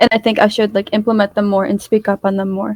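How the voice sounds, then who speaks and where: A soft-spoken woman, with a dry, close sound and no echo. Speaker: mock debate candidate. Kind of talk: mock political debate.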